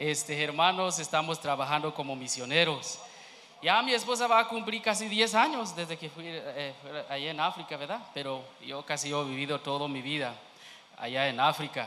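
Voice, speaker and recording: A man with a non-native accent speaks at a moderate pace, his fairly high pitch carrying lively intonation. Noticeable background noise and audible room echo surround him. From Kenya. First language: not Spanish (speaking Spanish). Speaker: missionary. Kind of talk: church testimony. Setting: church. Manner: halting.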